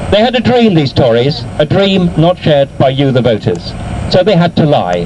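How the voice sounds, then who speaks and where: Very wide pitch swings from a man at a moderate pace, with noticeable background noise. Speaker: professor and author. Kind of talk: political rally speech. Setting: outdoors. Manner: impassioned, rhetorical.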